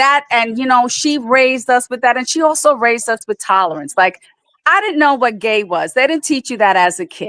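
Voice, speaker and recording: High-pitched woman's voice, bright and sharp in tone, animated, with lively intonation and a fairly quick pace. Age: 60s. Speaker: livestream panelist. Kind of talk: casual chat.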